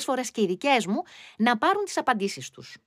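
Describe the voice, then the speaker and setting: The recording of a woman is very clean with a silent background, its sound dry and close with no echo. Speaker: podcast host. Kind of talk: podcast monologue. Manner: animated.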